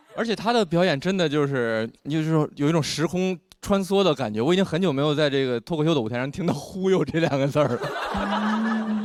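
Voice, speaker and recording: Over music in the background, a man talks at a fairly quick pace with hardly any pauses, using lively intonation and a fairly high pitch. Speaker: show host. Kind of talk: TV variety show hosting.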